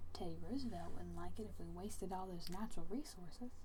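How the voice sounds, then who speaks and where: There is noticeable noise in the background. The talking goes at a moderate pace. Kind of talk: bedtime story reading. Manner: soft-spoken, quiet.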